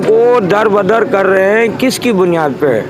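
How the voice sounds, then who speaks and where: With lively intonation and a high pitch, a man speaks amid noticeable background noise and audible room echo. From Pakistan, Karachi area. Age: 60s. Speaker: affected resident. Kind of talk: street interview complaint. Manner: animated.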